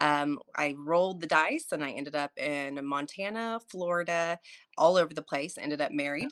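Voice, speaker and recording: A woman with an American accent, very deep and low in pitch, at a moderate pace, in a dry, close sound with no echo. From Oklahoma, small town. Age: 40s. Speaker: ER nurse and military veteran. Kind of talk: casual interview chat.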